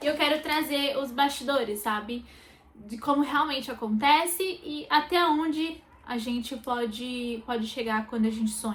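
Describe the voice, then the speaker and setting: Her pitch is high for a woman. She speaks at a moderate pace with ordinary pitch variation. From Brazil, interior of São Paulo state (Sumaré). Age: 20s. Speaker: makeup artist vlogger. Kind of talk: personal vlog. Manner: hesitant, many fillers.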